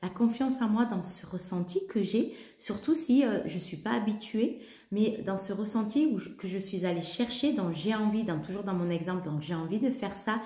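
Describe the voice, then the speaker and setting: A woman with a medium pitch and lively intonation talks at a moderate pace, with audible room echo and noticeable background noise. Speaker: holistic coach and yoga teacher. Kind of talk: spiritual talk to camera. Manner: halting, many hesitations.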